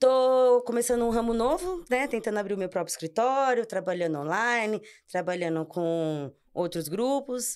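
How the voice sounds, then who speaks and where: On a very clean recording with a silent background, a woman with a fairly high voice talks at a moderate pace, her pitch swinging very widely. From Brazil, São Paulo region (ABC). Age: 30s. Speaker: architect, amateur cyclist. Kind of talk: casual podcast interview.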